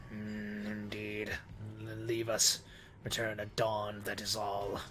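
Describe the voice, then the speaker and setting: A man's put-on character voice, fairly low in pitch and at a fairly slow pace, with clear background noise. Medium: game stream. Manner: imperious, archaic speech.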